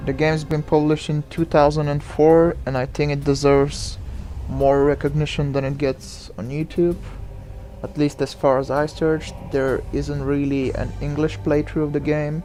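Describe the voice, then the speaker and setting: Someone with a non-native accent speaks at a moderate pace amid noticeable background noise. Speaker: gaming YouTuber. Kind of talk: let's play commentary. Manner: hesitant, many fillers; casual.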